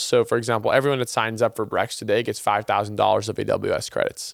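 His intonation stays fairly even. The man speaks at a very fast pace. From Brazil. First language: Portuguese. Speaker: startup founder and CEO. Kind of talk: interview.

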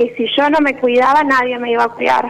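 A woman speaks with a high pitch. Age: 20s. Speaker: radio caller. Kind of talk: personal testimony. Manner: halting.

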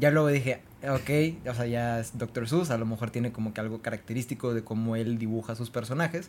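A man with an ordinary speaking voice, medium pitch, ordinary pitch variation, a fairly quick pace and hardly any pauses. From Mexico, Tamaulipas. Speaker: podcast co-host. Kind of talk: casual chat.

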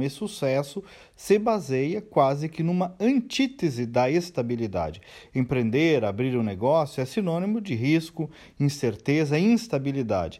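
On a very clean recording with a silent background, a man with a dark, mellow tone and fairly high pitch moves at a moderate pace through very wide pitch swings. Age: 40s. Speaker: commentator and business owner. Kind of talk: daily opinion commentary.

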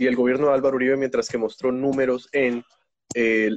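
The sound is dry and close, with no echo. A man talks at a medium pitch. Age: 20s. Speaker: university student and TikTok creator. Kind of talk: casual interview. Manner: halting, many repetitions.

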